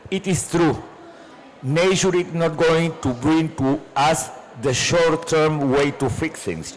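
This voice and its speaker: Over noticeable background noise, a man talks in a fairly high pitch. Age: 60s. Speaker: climate policy panelist. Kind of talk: panel discussion. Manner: halting, repeats words.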